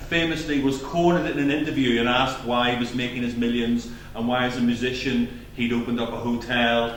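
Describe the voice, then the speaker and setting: Over noticeable background noise and audible room echo, a man with a Belfast accent talks at a fairly quick pace with ordinary pitch variation. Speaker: doctor, GP and clinical officer giving award speech. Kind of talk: award speech. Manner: projecting loudly. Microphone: no microphone.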